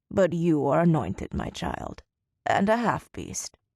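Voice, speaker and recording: In a put-on character voice, the speaker growls at a middle pitch and a fairly slow pace. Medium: machinima. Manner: cryptic, knowing.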